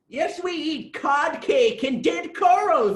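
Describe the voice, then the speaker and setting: This is a put-on character voice, pitched extremely high. It moves at a fairly slow pace. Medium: read story.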